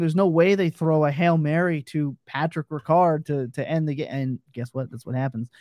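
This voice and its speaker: With a dark, mellow tone and fairly high pitch, a man talks at a moderate pace with ordinary pitch variation, the sound dry and close with no echo. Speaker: fantasy football analyst. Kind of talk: casual chat. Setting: live video stream. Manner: loud; animated.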